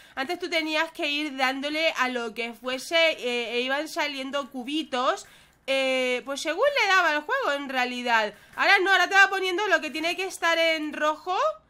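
A woman's raised, projected voice, high-pitched and bright, sharp in tone, animated, with ordinary pitch variation and a moderate pace. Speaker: gaming youtuber. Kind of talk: gameplay commentary.

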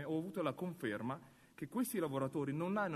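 A man talks with lively intonation, keeping up a fairly quick pace. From China. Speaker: actor. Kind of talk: speech at union congress. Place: hall. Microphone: podium.

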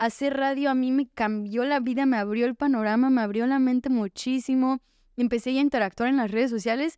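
A woman with a Mexican accent talks at a fairly quick pace in a high pitch and a dark, mellow tone, with fairly even intonation and very even loudness, the sound dry with no echo against a quiet background. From Mexico. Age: 20s. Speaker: recovering addict sharing her story; podcast guest. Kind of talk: testimony. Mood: candid, reflective, at times smiling. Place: studio. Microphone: studio mic.

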